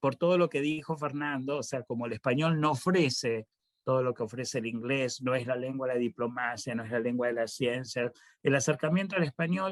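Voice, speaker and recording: In a plain, everyday voice, a man of medium pitch talks at a fairly quick pace with ordinary pitch variation, the sound dry and close with no echo against a quiet background. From Argentina, Buenos Aires. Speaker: professor. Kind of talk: panel discussion.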